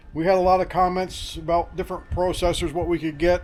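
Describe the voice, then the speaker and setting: The man's voice sits at a high pitch. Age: 60s. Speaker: wood yard owner. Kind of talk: casual chat. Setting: outdoors.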